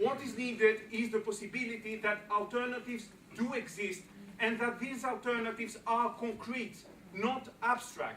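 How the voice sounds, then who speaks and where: Projecting loudly, a man in a Greek accent speaks at a moderate pace in an extremely high, monotone, flat voice. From Greece. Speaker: political speaker. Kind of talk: public speech.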